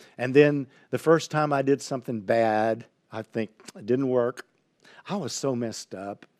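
In a very clean recording with a silent background and a dry, close sound with no echo, a man of medium pitch speaks at a moderate pace with long, frequent pauses, big swings in loudness and ordinary pitch variation. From Texas (Highlands, near Houston). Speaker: pastor. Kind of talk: sermon. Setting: livestream on social media.

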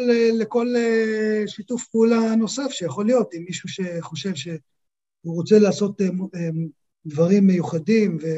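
A man talks at a moderate pace. His voice is high-pitched, with ordinary pitch variation. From Israel, Holon. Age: 50s. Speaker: product designer and business owner. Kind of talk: interview.

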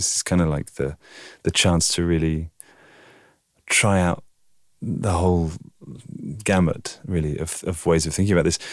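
On a very clean recording with a silent background, a man with a southern English accent speaks at a moderate pace in a very deep, low pitch with monotone, flat intonation. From southern England, Oxford. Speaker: video artist. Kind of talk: interview.

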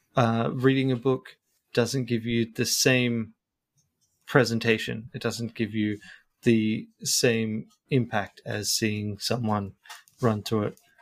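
With an Australian accent, a man of medium pitch speaks at a very slow pace in a monotone, flat intonation, taking long, frequent pauses. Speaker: YouTuber. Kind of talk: casual chat. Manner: halting.

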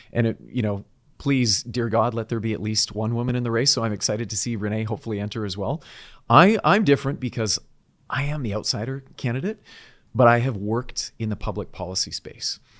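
Speaking fairly quickly with a Canadian accent, a man uses a normal speaking voice with ordinary pitch variation on a very clean recording with a silent background. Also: medium pitch for a man. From British Columbia, Canada. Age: 40s. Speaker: political candidate. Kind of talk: interview.

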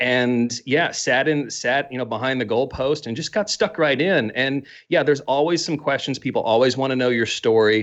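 In a Midwestern American accent, the speaker goes at a moderate pace with ordinary pitch variation against a quiet background. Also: man, medium pitch for a man, hardly any pauses. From US Midwest. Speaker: podcaster. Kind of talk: casual interview.

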